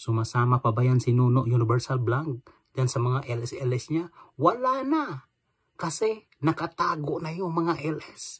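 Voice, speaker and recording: A man speaks in an animated tone at a fairly slow pace. His voice is fairly high, somewhat breathy, and has ordinary pitch variation. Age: old. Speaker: vlogger. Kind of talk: angry rant.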